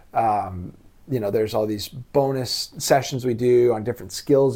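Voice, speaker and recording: On a very clean recording with a silent background, a man of medium pitch speaks with fairly even intonation. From US, Los Angeles. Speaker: writing course co-founder. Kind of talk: interview. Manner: hesitant, many fillers.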